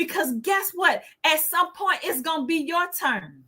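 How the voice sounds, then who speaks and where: A woman's voice is extremely high, bright and sharp. She speaks in a raised, projected voice with lively intonation. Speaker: livestream host. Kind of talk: inspirational livestream talk. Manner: stutter.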